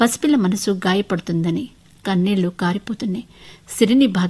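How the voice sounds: This reading voice is natural, and its pitch varies in an ordinary way.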